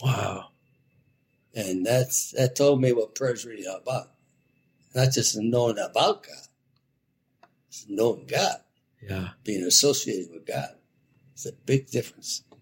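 A man with an American accent speaks fairly slowly, with long, frequent pauses and big swings in loudness. His medium-pitched voice is somewhat breathy, with ordinary pitch variation. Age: old. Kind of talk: interview conversation. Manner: halting.

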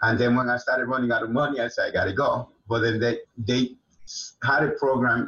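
Speaking fairly quickly, a man keeps a medium pitch and a monotone, flat intonation. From Dominican Republic. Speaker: martial arts instructor and actor. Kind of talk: interview, casual chat.

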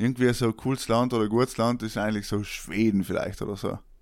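A man's medium-pitched voice at a very fast pace with fairly even intonation, on a very clean recording with a silent background. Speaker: podcast host. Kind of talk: casual chat.

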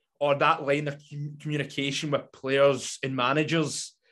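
A man with a Scottish accent and a fairly high pitch, against a quiet background. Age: 20s. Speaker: football podcaster. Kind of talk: interview. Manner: halting.

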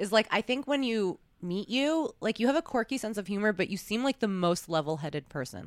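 With an American accent and a normal speaking voice, a woman talks at a fairly quick pace in a medium pitch with lively intonation, recorded very cleanly against a silent background with a dry, close sound and no echo. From New York, US. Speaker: podcast host, adult performer. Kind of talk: casual interview.

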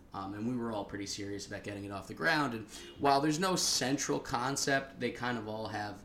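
A man with a medium-pitched voice and an American accent, very fast and with lively intonation, amid noticeable background noise and audible room echo. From Long Island, New York. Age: 20s. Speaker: podcast host, comedian. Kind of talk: casual chat. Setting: living room recording.

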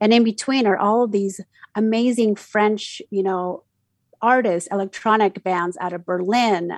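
Recorded dry and close with no echo over a quiet background, a woman of medium pitch speaks at a fairly slow pace with fairly even intonation. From Mexico City, raised in Utah from age ten. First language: Spanish. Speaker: community radio DJ. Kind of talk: casual interview. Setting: video call.

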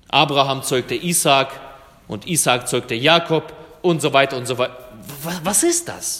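Against noticeable background noise, a man speaks at a fairly high pitch with fairly even intonation. His pace is fairly slow, with long, frequent pauses. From Germany, came from Russia as a child. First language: Russian (speaking German). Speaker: pastor. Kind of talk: sermon.

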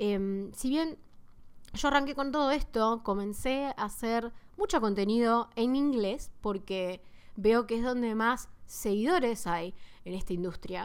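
Using a Rioplatense accent, a woman talks at a fairly slow pace with a fairly high pitch and ordinary pitch variation. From Argentina, Buenos Aires. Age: 20s. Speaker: fitness podcaster. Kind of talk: casual monologue.

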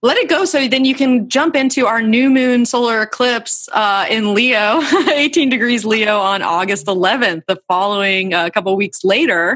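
Through noticeable background noise, a woman speaks at a moderate pace with fairly high pitch, lively intonation and very even loudness. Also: hardly any pauses. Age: 30s. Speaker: podcast host and astrologer. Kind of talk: scripted narration; casual chat.

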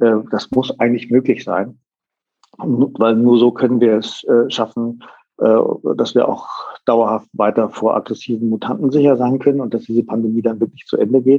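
The voice is a man's, medium in pitch. It stays flat and monotone. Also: moderate pace. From northern Germany (Sylt). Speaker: hotelier and hospitality association president. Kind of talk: interview.

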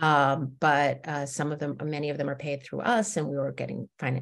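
Against a quiet background, a woman with an American accent talks at a moderate pace in a very deep, low pitch with vocal fry. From New Jersey, suburban Westfield. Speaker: theatre company co-founder. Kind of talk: interview conversation.

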